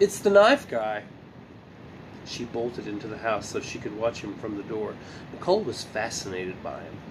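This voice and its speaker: A man speaks with audible room echo. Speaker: amateur reader of children's book. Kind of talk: reading aloud. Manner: halting, self-correcting.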